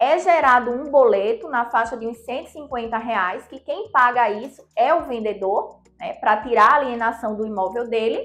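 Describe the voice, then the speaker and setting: With big swings in loudness, a woman talks fairly slowly in a high voice with ordinary pitch variation. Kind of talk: explainer to camera. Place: office. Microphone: lapel.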